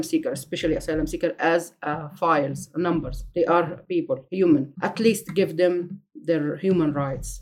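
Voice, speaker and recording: This speaker has an Egyptian accent and a moderate pace. There are hardly any pauses, and the pitch varies in an ordinary way. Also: woman. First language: Arabic. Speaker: asylum seeker. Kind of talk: personal testimony. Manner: halting.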